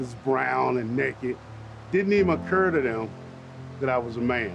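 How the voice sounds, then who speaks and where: Over music in the background, a man with an American accent talks at a moderate pace with lively intonation. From Virginia, USA. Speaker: storyteller, army veteran. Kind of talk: casual documentary interview. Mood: warm, amused, reflective. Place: forest.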